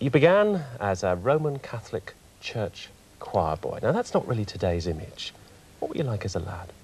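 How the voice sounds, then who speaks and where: In a dry sound with no echo, a man speaks at a moderate pace. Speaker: TV psychologist, interviewer. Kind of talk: TV interview questions. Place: studio. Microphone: lapel.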